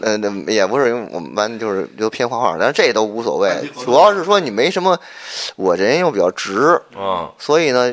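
Talking at a fairly quick pace, a man with a medium-pitched voice makes very wide pitch swings. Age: 30s. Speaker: TV program director. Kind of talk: casual chat. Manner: halting, with repeated words.

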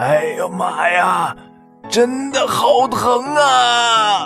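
Doing a put-on character voice, a man sounds hoarse and raspy at a very slow pace with clear music in the background. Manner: echoing the man's cry of pain.

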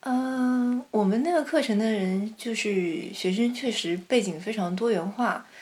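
With hardly any pauses, a woman talks at a fairly slow pace in a fairly high, somewhat breathy voice with lively intonation. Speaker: master's graduate. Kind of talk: casual chat.

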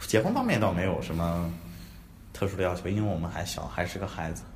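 A man talks through noticeable background noise, and the room adds audible echo. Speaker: podcast co-host, design graduate student. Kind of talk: casual chat. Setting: university classroom.

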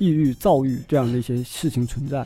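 A man talks very fast in a fairly high voice. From Northeast China, Taonan, Jilin. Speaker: writer. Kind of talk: casual chat.

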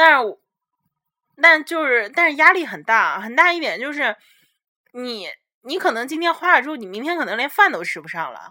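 A woman's high-pitched, raised and projected voice has a bright, sharp tone and very wide pitch swings, moving at a moderate pace with long, frequent pauses. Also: big swings in loudness. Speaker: podcast host, international student. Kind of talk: casual chat.

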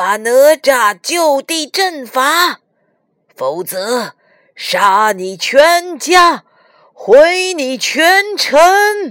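Putting on a character voice, a woman speaks very slowly in a high, fairly bright tone with big pitch swings.

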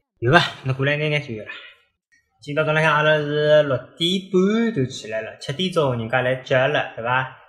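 Here a man speaks with a fairly high pitch and ordinary pitch variation. His pace is moderate. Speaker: parent podcaster. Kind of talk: casual chat. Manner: animated.

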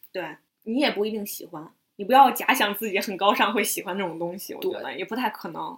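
A woman at medium pitch, talking at a very fast pace, with ordinary pitch variation and big swings in loudness. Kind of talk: casual chat.

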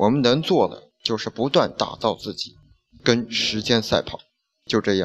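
Speaking fairly slowly, a man uses an ordinary speaking voice at a medium pitch with ordinary pitch variation. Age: 20s. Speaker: podcast host. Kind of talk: reading aloud.

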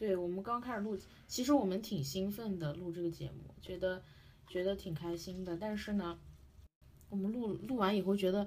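With a medium pitch, a somewhat breathy sound and ordinary pitch variation, a woman speaks at a moderate pace with long, frequent pauses. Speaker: podcast host. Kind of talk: casual chat.

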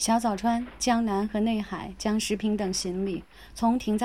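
Intonation stays fairly even throughout. The reading voice is unforced.

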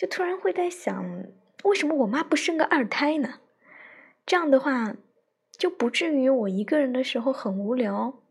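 This woman speaks at a moderate pace in a high voice, her pitch swinging very widely. Long pauses come often. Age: 20s. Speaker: podcaster, teacher. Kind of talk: personal monologue. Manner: halting, many fillers. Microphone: phone mic.

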